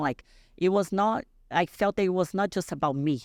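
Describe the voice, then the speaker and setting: In a Portuguese accent, a woman speaks at a moderate pace with lively intonation on a very clean recording with a silent background, the sound dry and close with no echo. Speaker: bodybuilding champion. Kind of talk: podcast interview. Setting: podcast studio. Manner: halting.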